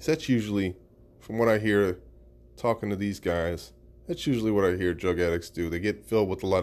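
A man's very deep, low pitch at a moderate pace, very clean recording with a silent background. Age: 30s. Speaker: podcaster and social worker. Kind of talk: casual monologue. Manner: laid-back.

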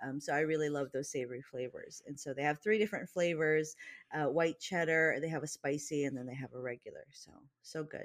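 A woman with an American accent speaks at a fairly quick pace in a very deep, low voice, her loudness swinging widely. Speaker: podcast co-host. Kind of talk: casual chat.

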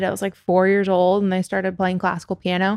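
Recorded very cleanly against a silent background, a woman speaks at a medium pitch in a Californian accent. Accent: Californian American. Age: 20s. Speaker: record label executive. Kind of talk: interview.

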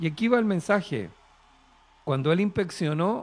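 Lively intonation marks a man's speech in a very clean recording with a silent background. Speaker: preacher. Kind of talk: sermon. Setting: studio.

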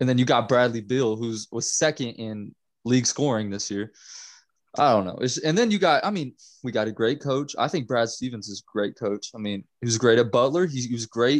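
A man talks at a fairly quick pace in a normal speaking voice, medium in pitch with ordinary pitch variation. The background is quiet. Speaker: podcast co-host. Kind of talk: casual sports chat.

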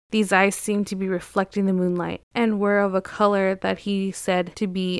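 A woman talks at a fairly quick pace and medium pitch in a monotone, flat intonation. The recording is very clean, with a silent background. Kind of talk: true-crime horror narration. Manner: dramatic, suspenseful, reading a witness account aloud.

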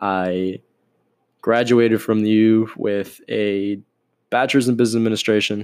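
On a very clean recording with a silent background, a man with an American accent speaks fairly slowly in a fairly low voice. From Miami, Florida. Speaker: podcast host, finance. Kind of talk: casual solo podcast intro. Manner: monotone, trying to be more lively; casual, laughs often.

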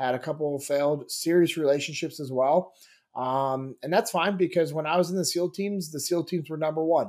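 Speaking in a normal speaking voice at a fairly quick pace, a man uses a fairly high pitch and ordinary pitch variation on a very clean recording with a silent background. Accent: American. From US West, Sacramento, California. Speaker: former Navy SEAL sniper and leadership trainer. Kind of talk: casual interview.

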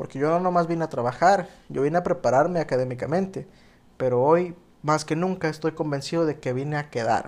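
An ordinary speaking voice from a man, fairly high in pitch, at a fairly quick pace with ordinary pitch variation and a quiet background. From Mexico, Oaxaca (moved to Baja California Sur at 14). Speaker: podcast host. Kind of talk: solo podcast monologue.

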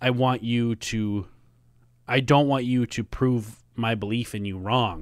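On a very clean recording with a silent background, a man with a Minnesota accent speaks at medium pitch. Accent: Minnesota American. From US Midwest, Minnesota. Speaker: podcast co-host and musician. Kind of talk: casual chat.

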